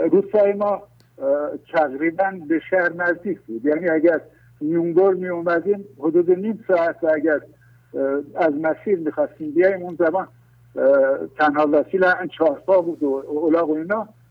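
A high-pitched man speaks with fairly even intonation. He leaves long, frequent pauses. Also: moderate pace. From rural Iran. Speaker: caller. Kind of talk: casual chat. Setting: phone call.

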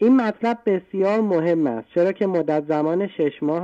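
A man at a moderate pace, dark and mellow in tone with ordinary pitch variation, in a dry, close sound with no echo and a quiet background. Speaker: caller. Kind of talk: reading aloud. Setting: phone call. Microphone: good line.

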